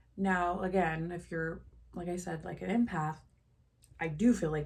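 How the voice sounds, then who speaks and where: A woman with a fairly low pitch sounds somewhat breathy and keeps a fairly even intonation. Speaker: lifestyle vlogger. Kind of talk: casual monologue to camera. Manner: slow.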